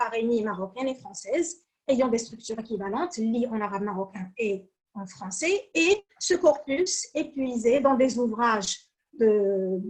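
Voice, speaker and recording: Speaking at a very slow pace, a woman uses a high pitch with very wide pitch swings. She talks with a Moroccan accent. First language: Moroccan Arabic (speaking French). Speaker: academic researcher. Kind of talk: conference presentation. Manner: hesitant, frequent fillers.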